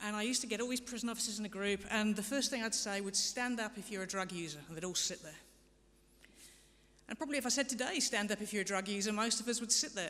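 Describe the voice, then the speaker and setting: With audible room echo, a woman speaks in a bright, sharp tone at a fairly high pitch, with ordinary pitch variation. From England. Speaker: harm reduction programme director. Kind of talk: conference presentation. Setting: parliamentary symposium stage.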